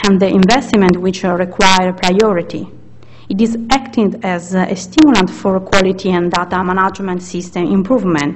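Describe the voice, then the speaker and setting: A woman with an Italian accent speaks at a medium pitch with ordinary pitch variation, and the room echo is audible. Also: moderate pace. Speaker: researcher. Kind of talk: conference presentation. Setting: conference session. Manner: halting.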